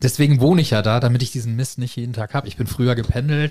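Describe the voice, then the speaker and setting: This man's voice is somewhat breathy, medium in pitch, with ordinary pitch variation. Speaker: podcast fan guest. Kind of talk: casual chat.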